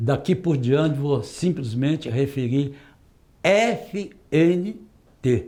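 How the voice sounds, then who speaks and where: Very slowly and with long, frequent pauses, a man speaks in a fairly high pitch with a dark, mellow, somewhat breathy tone and lively intonation. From Northeast Brazil. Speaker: retired metalworker and union activist. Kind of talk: oral history testimony.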